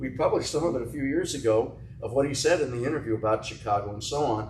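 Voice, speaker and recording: Speaking very fast with an American accent at a medium pitch, a man is heard over noticeable background noise and audible room echo. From US, New Jersey. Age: 80s+. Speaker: author and literary historian. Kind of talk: interview conversation.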